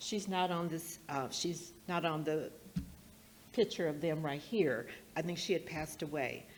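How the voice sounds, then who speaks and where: The speech moves at a fairly slow pace with ordinary pitch variation, and audible room echo surrounds it. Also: woman, fairly low pitch for a woman. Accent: American. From US West Coast (Portland, Oregon). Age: 70s. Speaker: speaker at a heritage event. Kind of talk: public talk at an event.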